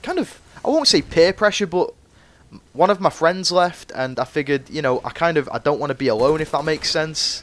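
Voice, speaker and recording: In a northwest English accent, a man speaks with lively intonation and fairly high pitch. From northwest England, Cheshire. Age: 20s. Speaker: gaming youtuber. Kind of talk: gameplay commentary chat. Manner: casual, rambling with fillers.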